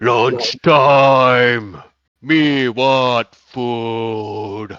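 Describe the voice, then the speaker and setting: A booming, put-on character voice from a man at medium pitch. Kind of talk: broken, simple speech. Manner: crude, demanding.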